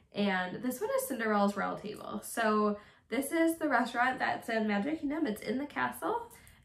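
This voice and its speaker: A woman with a high pitch speaks at a moderate pace over noticeable background noise. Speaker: vlogger. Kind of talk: casual monologue vlog. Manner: casual, filler-heavy.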